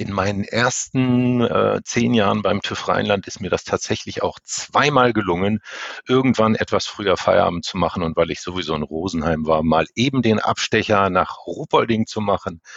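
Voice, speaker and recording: The speaker moves along at a moderate pace. Pitch varies in an ordinary way. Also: man, fairly low pitch for a man. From northern Germany. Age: 50s. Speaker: elevator safety inspection manager. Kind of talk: interview.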